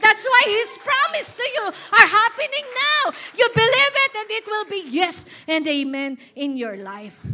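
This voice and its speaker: A woman with an extremely high pitch speaks in a raised, projected voice at a fairly slow pace, her tone animated. Her pitch swings very widely, her loudness rises and falls sharply, and music plays in the background. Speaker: pastor. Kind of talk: sermon.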